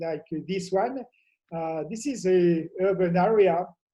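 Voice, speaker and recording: A man with a French accent speaks in a dark, mellow tone. His pace is moderate, with ordinary pitch variation. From France. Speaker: professor. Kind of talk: conference talk. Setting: remote video presentation from home. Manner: halting, many fillers.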